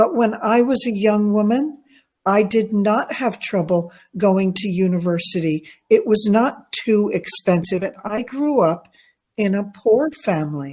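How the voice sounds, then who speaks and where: A somewhat breathy woman's voice with lively intonation at a fairly slow pace. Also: medium pitch for a woman. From New York. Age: 60s. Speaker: English tutor. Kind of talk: casual chat.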